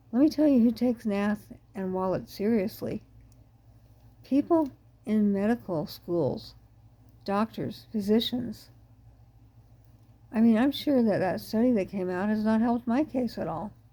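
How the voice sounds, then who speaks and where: Somewhat breathy and dark, mellow in tone, a woman with a fairly high voice speaks fairly slowly with long, frequent pauses. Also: ordinary pitch variation. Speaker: ME patient advocate. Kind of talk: monologue talk.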